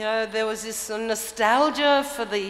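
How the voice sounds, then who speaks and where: Very slow speech from a woman with ordinary pitch variation, over noticeable background noise and audible room echo. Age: 60s. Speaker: permaculture teacher. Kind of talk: conference talk.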